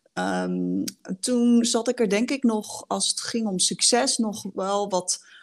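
On a very clean recording with a silent background, a woman speaks very slowly. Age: 30s. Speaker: leadership coach. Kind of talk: casual chat.

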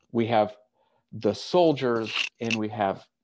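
A man with an American accent at a very slow pace. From United States. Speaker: pastor. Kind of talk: sermon. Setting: online church service.

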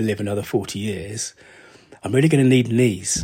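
In an English accent, a man speaks at a moderate pace with a fairly low, somewhat breathy voice and ordinary pitch variation. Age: 50s. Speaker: podcast host, business storytelling consultant. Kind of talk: solo podcast monologue. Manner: casual, thinking aloud with fillers.

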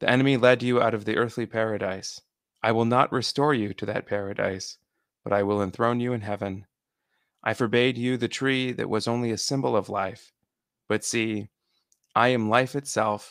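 A man with a plain, everyday voice speaks at a moderate pace in a medium pitch with fairly even intonation, on a very clean recording with a silent background and a dry, close sound with no echo. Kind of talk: dramatic reading aloud of a homily, with prayer.

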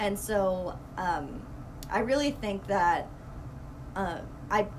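A woman speaks very slowly with long, frequent pauses and ordinary pitch variation, with audible room echo and noticeable background noise. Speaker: marathon runner and PhD student. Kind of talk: casual interview. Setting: studio, in person.

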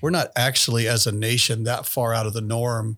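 With an American accent, a man talks at a moderate pace in an ordinary speaking voice of medium pitch, captured in a very clean recording with a silent background. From US, Mennonite community. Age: 50s. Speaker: pastor and ethics teacher, podcast co-host. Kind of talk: casual chat.

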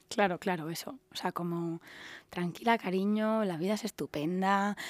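Dry and close with no echo, the very clean recording has a silent background. A woman talks at a fairly slow pace with ordinary pitch variation. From Andalusia, Seville. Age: 30s. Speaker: stylist and craft brand founder. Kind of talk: interview.

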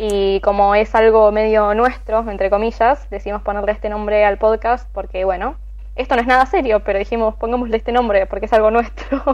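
A woman with a Rioplatense accent at a fairly quick pace. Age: 20s. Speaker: podcast co-host. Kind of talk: casual chat.

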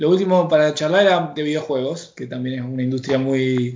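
In a room with audible echo, a man speaks at a fairly high pitch with a Rioplatense accent. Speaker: podcast host. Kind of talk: casual chat.

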